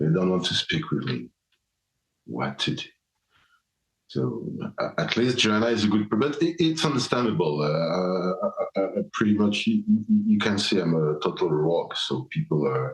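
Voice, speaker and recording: A man with a non-native accent and very wide pitch swings. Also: fairly low pitch for a man, moderate pace. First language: German. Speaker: podcast host. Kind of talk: solo podcast answering listener questions. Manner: halting, many fillers and restarts.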